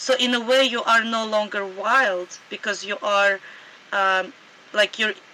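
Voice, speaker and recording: A woman's medium-pitched voice in a Russian accent, fairly slow, with ordinary pitch variation. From Sudan. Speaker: anarchist author and scholar. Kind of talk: interview conversation.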